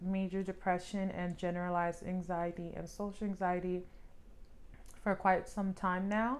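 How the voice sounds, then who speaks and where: Speaking at a fairly slow pace, a woman talks with an American accent. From US Northeast (New Jersey, Pennsylvania). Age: 30s. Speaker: vlogger. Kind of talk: vlog monologue. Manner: casual, with fillers.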